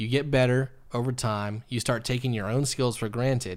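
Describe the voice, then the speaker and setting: This man has a normal speaking voice at a medium pitch, with fairly even intonation. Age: 30s. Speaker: podcast host and photographer. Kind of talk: casual chat interview.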